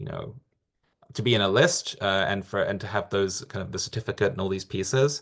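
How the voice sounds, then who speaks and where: A man with an English accent at a fairly quick pace, with ordinary pitch variation. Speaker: accreditation program staff presenter. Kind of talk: webinar Q&A. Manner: halting, many fillers and repetitions.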